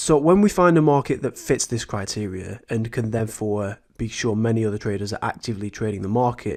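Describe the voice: At a moderate pace, a man talks with a fairly low pitch. His tone is slightly mellow, with ordinary pitch variation.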